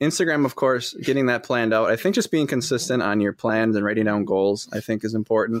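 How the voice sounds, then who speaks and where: A man with an American accent talks at a very fast pace with hardly any pauses, a medium pitch, ordinary pitch variation and very even loudness, in a dry, close sound with no echo on a very clean recording with a silent background. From Wisconsin, Fond du Lac. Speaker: entrepreneur, host's husband. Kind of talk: casual chat.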